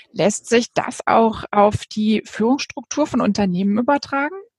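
Somewhat breathy and fairly high-pitched, a woman speaks at a fairly slow pace in a dry, close sound with no echo. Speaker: podcast host. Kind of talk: interview. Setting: video call.

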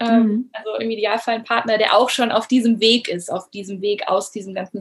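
A woman with a fairly high, somewhat breathy voice talks at a moderate pace. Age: 30s. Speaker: former teacher turned coach. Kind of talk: interview.

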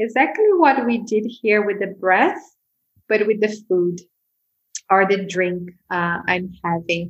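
A woman speaks at a medium pitch, with ordinary variation in her pitch. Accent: Portuguese. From Brazil, Sao Paulo. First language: Portuguese. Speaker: mindfulness teacher. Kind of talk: casual interview.

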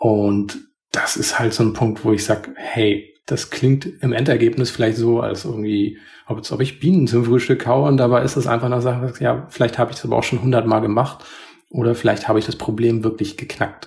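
A man speaks at a fairly quick pace. His voice is somewhat breathy. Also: medium pitch for a man, ordinary pitch variation. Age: 40s. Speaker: podcast co-host. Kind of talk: casual chat. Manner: calm, composed.

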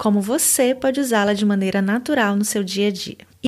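A normal speaking voice from a woman, moderately paced, with ordinary pitch variation. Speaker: language teacher podcaster. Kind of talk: language lesson.

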